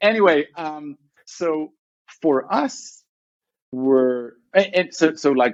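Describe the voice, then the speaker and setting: A man with an Israeli accent, in a dry, close sound with no echo. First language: Hebrew. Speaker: tech company CEO. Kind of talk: podcast interview. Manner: fast, halting with many restarts.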